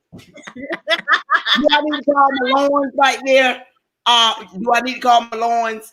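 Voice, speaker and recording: A man speaks at a fairly slow pace in a raised, projected voice. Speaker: talk show panelist. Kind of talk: casual chat. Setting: live stream. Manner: animated.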